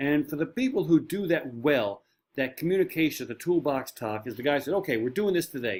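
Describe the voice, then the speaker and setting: Talking very fast, a man with a Newfoundland accent has a fairly high pitch. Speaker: marine safety trainer. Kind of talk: online course lecture. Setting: home shed.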